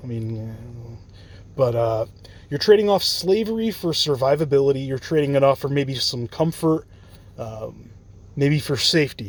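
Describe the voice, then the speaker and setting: A man talks at a moderate pace in an unremarkable speaking voice. His fairly high pitch moves with lively intonation. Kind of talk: casual talk to camera, free-form lecture. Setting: parked car at night.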